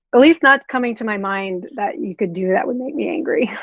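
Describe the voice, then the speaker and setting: Speaking at a fairly quick pace, a woman uses lively intonation with an American accent. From Oklahoma. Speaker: record label creative director. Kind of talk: interview.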